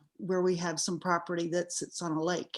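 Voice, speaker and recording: A woman speaks at medium pitch with a Southern US accent. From Texas. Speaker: writer. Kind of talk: casual self-introduction in a workshop. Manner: hesitant, many fillers.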